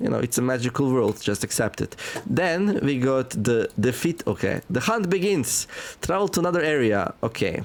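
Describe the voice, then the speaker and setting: A man with a non-native accent speaks at a moderate pace and medium pitch, with very wide pitch swings but very even loudness. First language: not English. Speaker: gaming youtuber. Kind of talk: gameplay commentary. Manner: casual, many filler words.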